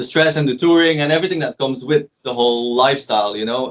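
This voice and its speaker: A man's fairly high voice with a Flemish Belgian accent and ordinary pitch variation. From Belgium, West Flanders. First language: Dutch (West Flemish dialect). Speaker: DJ and producer. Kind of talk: casual interview chat.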